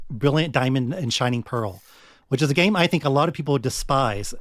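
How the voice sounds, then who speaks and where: A man with an American accent talks at a fairly quick pace, his pitch fairly high and his intonation lively. The recording is very clean with a silent background, dry and close with no echo. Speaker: gaming podcaster. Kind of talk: interview conversation. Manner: loud and clear, projected; confident.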